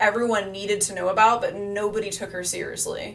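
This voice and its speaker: In an animated tone, a woman talks at medium pitch and a fairly quick pace, with audible room echo. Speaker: astrologer. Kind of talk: live stream talk. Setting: live stream.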